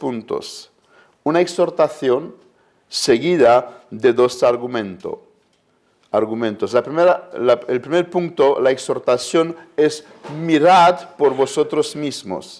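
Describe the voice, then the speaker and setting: Someone speaks at a very slow pace in a Romanian accent. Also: man. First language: Romanian (speaking Spanish). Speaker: preacher. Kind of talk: sermon.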